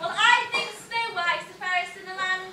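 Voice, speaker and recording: A squeaky, put-on character voice at an extremely high pitch, with a moderate pace and light background noise. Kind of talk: comic pantomime acting. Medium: stage play. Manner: naive, comic.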